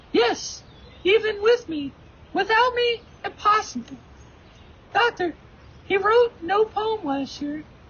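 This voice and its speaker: A squeaky, put-on character voice at an extremely high pitch moves at a fairly slow pace with long, frequent pauses. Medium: stage play. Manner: quiet, measured.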